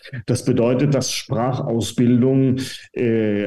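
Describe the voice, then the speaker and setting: Audible room echo surrounds delivery at a very slow pace. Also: man. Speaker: professor of medieval German studies. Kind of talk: interview. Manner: hesitant, many fillers.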